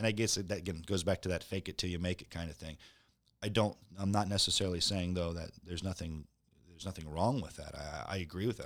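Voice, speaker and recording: A man's very deep, low voice at a very fast pace, with an American accent, ordinary pitch variation and a very clean recording over a silent background. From US Midwest. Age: 40s. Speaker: real estate broker and former Marine. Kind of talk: casual interview.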